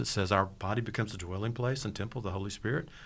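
A somewhat breathy man at a very fast pace, with ordinary pitch variation. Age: 60s. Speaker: pastor. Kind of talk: casual chat.

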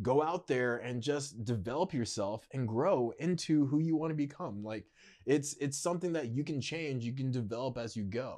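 A man has a normal speaking voice at a medium pitch, with ordinary pitch variation. He speaks at a moderate pace against a quiet background. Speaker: social media content creator. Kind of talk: casual interview chat. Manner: conversational, filler-heavy.

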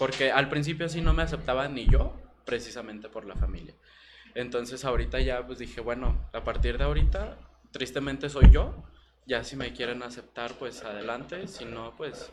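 A man talks at a moderate pace with big swings in loudness. Music plays in the background. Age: 20s. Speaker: guest. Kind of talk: testimony.

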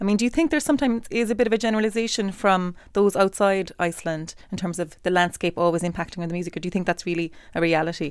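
A woman with a Cork accent talks at a very fast pace with hardly any pauses. Her pitch variation is ordinary, and the recording is very clean with a silent background. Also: medium pitch for a woman. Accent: Irish, Cork. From Ireland, Cork. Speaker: composer. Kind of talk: interview. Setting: studio.

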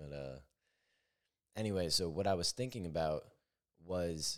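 A man talks with very deep, low pitch. His intonation is lively. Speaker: podcast host. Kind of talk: solo podcast monologue, reflective. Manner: reflective, conversational.

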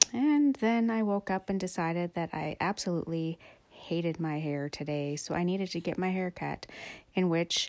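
A woman with a fairly low pitch at a moderate pace, on a very clean recording with a silent background. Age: 40s. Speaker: podcaster. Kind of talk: casual monologue. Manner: halting, many fillers.

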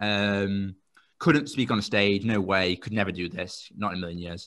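A man speaks with a southern English accent at a fairly low pitch. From England, Royston near Cambridge. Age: 20s. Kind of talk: interview. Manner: fast; animated.

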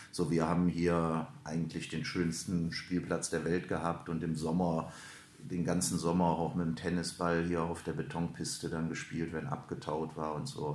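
There is noticeable background noise and audible room echo. A man speaks at a moderate pace with a very deep, low pitch. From Lower Rhine, Germany (Hüls, Krefeld). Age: 50s. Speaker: ice hockey coach and sports director. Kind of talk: interview. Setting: club office at an ice rink.

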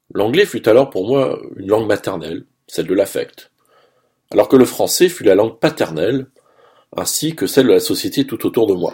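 Long, frequent pauses break up a man's moderate pace. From Saint-Pierre-et-Miquelon. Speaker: radio columnist. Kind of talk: scripted radio commentary. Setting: radio studio.

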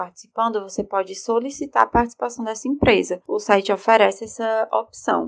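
A woman talks at a moderate pace in a normal speaking voice. Her pitch is fairly high. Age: 20s. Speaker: lawyer. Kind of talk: prepared explanation.

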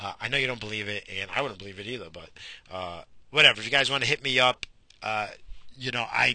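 A medium-pitched man at a very fast pace with long, frequent pauses, ordinary pitch variation and big swings in loudness. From Portuguese heritage. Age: 40s. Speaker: podcast host. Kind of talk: casual monologue.

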